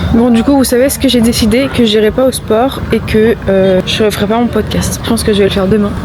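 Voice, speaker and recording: A woman talks at a fairly quick clip with fairly even intonation, very even loudness and hardly any pauses, over noticeable background noise. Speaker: vlogger and business coach. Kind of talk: casual vlog talk to camera. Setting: outdoors in Los Angeles. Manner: casual, hesitant with fillers.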